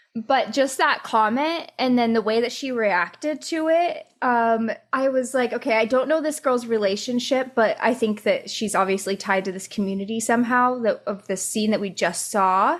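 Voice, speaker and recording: Recorded very cleanly against a silent background, a woman with a Midwestern accent speaks at a fairly high pitch. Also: ordinary pitch variation, moderate pace, hardly any pauses. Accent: Midwest US. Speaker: podcast co-host. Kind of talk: casual chat.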